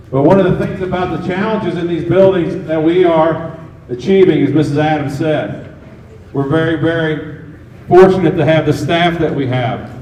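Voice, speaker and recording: Speaking at a moderate pace with fairly even intonation, a man with a fairly high pitch is heard amid audible room echo and noticeable background noise. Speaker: school district administrator. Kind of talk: public presentation at town hall. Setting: school town hall meeting with audience. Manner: loud.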